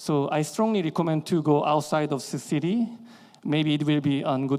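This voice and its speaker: A man with a Korean accent at a moderate pace, fairly high in pitch with ordinary pitch variation, against a quiet background. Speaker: dentist. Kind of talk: lecture. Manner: halting.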